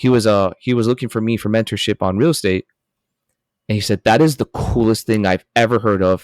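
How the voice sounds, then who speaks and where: A man with a Spanish accent talks at a fairly quick pace in a fairly low pitch, with fairly even intonation. The recording is very clean with a silent background, and the sound is dry and close with no echo. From US, Miami (Colombian family). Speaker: coffee company founder. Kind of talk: interview storytelling.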